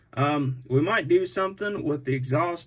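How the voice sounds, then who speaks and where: A man's somewhat breathy voice with lively intonation at a moderate pace. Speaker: scale model truck builder, YouTuber. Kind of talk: casual video commentary. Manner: halting, repeats words.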